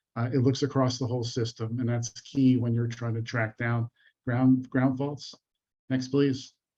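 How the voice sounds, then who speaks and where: At a moderate pace, a man with a medium-pitched, somewhat breathy voice speaks in a dark, mellow tone with flat, monotone intonation. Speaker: industry panelist presenting products. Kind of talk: webinar product presentation. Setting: online webinar. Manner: many fillers, hesitant.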